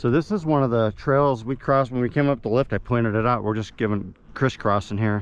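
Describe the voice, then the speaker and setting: A normal speaking voice from a man, medium in pitch with ordinary pitch variation, at a fairly quick pace with hardly any pauses. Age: 60s. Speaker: mountain biking vlogger. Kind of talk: casual vlog narration while riding. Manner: relaxed, conversational with fillers.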